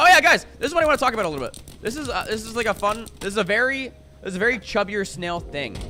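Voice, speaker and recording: Over music in the background, a man with a high pitch delivers an animated, raised, projected voice at a very fast pace, with very wide pitch swings and big swings in loudness. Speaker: video game streamer. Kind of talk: live gaming stream chat.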